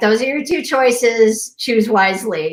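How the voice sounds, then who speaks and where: A woman's booming, put-on character voice, fairly high-pitched, with lively intonation at a moderate pace. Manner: commanding.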